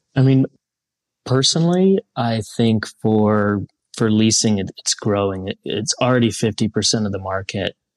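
A man with an American accent has an unremarkable speaking voice, fairly low in pitch with ordinary pitch variation. The background is quiet. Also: moderate pace, dry, close sound with no echo. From Columbus, Ohio, US Midwest. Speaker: aircraft leasing executive. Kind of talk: interview.

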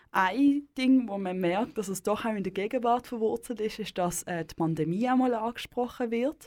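In an ordinary speaking voice, a woman talks at a moderate pace, fairly high in pitch and with ordinary pitch variation. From Basel, Switzerland. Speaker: radio host. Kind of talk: radio interview.

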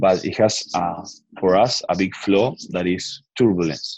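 A man with a Spanish accent speaks at a fairly slow pace with ordinary pitch variation. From Argentina. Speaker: biotech startup founder and CEO. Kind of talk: interview. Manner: halting, many fillers and repeats.

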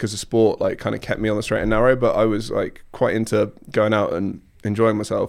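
A man with an American accent and a medium pitch talks at a very fast pace in a very clean recording with a silent background. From southern England, Surrey. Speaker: technology marketer, former fitness coach. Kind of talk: casual chat. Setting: studio.

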